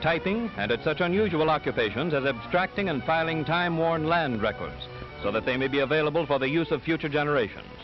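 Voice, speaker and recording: A man talks at a very fast pace in a fairly high pitch. Music plays in the background. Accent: American. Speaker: newsreel narrator. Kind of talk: 1930s newsreel narration. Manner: formal, measured, declamatory.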